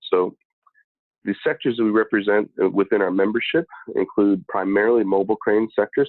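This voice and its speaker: Rather quickly, a man talks with an American accent. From US Midwest. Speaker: industry association executive. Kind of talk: conference presentation. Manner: many filler words (uh, um).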